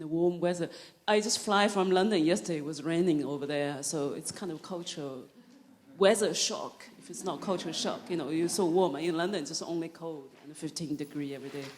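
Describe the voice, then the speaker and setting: With a Chinese accent, a woman talks at a fairly quick pace in a fairly low pitch, her loudness swinging widely and her pitch varying in an ordinary way against noticeable background noise. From China (Zhejiang, southern China). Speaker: novelist and filmmaker. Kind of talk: author talk. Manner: halting.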